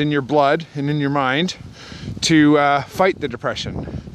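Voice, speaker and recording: Fairly even intonation at a fairly slow pace, dry sound with no echo, and light background noise. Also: man. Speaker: vlogger talking about mental health. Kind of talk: casual vlog chat. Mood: calm, reflective. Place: forest. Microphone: phone near.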